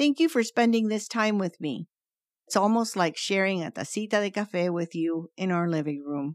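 A woman talks in an ordinary speaking voice at a fairly slow pace and medium pitch, with lively intonation. The recording is very clean with a silent background, and the sound is dry and close with no echo. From Cuban family, raised in Venezuela. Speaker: storyteller podcast host. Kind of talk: scripted narration.

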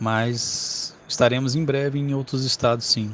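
Fairly slow and fairly even in intonation, a man's speech unfolds. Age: 30s. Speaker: cosplay agency founder. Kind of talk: casual interview.

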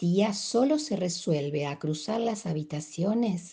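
The tone is dark and mellow, somewhat breathy. The pace is fairly slow. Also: woman. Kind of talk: audiobook-style literary reading aloud of a short story. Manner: formal, clear, storyteller cadence.

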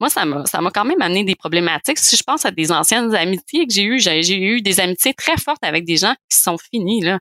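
This woman talks at a fairly quick pace with hardly any pauses, her medium pitch making very wide swings. Her loudness stays very even, and the sound is dry and close with no echo. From Quebec, Montreal. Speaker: osteopath and mother of four. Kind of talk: podcast interview, personal testimony.

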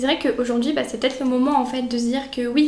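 High-pitched for a woman, her voice carries audible room echo and noticeable background noise. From France, Auvergne (near Brioude). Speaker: student association president. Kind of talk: casual interview. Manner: hesitant, many fillers.

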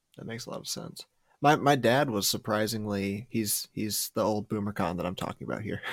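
A man talks at a fairly quick pace in a fairly low pitch with vocal fry. The sound is dry and close, with no echo. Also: ordinary pitch variation, big swings in loudness. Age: 20s. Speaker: podcast host. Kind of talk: casual interview chat. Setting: livestream.

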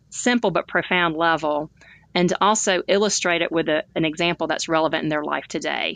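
A woman with a Southern US accent talks fairly quickly in a bright, sharp tone, her pitch fairly low with ordinary variation. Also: dry, close sound with no echo, quiet background. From Alabama, US South. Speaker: author and speaker. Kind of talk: interview monologue.

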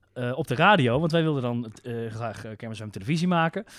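The recording is very clean, and the background is silent. It is an ordinary speaking voice, with ordinary pitch variation. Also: man. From Netherlands, North Brabant ('s-Hertogenbosch). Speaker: radio and TV maker. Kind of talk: casual chat.

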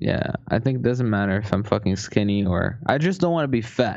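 A man's fairly quick speech with very wide pitch swings over a quiet background. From Brazil. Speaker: podcast host. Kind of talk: casual chat.

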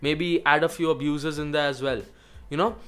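Music runs behind the voice. The delivery is fairly quick. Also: man. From India. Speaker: podcast host, digital marketing agency owner. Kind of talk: solo monologue tutorial.

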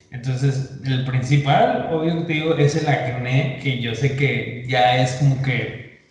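At a very slow pace, a man speaks with fairly even intonation and medium pitch over noticeable background noise. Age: 20s. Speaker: podcast guest. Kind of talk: casual chat.

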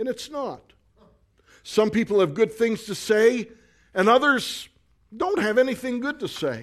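A man's high, animated voice with lively intonation, fairly slow in pace and broken by long, frequent pauses. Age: 50s. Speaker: pastor. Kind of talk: sermon. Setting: church with congregation.

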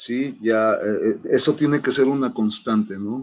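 A man speaks with a Mexico City accent at a fairly slow pace. His pitch shows ordinary variation. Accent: Mexican Spanish (Mexico City). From Mexico City (Xochimilco). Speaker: national volleyball coach. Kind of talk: interview. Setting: video call.

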